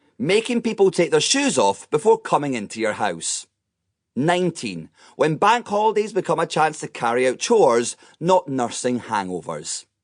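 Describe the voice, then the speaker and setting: A man talks at a moderate pace in a fairly high pitch, his voice making very wide pitch swings. The sound is dry and close with no echo, and the background is quiet. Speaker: comedian and audiobook narrator. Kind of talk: comedic memoir audiobook narration. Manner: wry, comedic, self-deprecating.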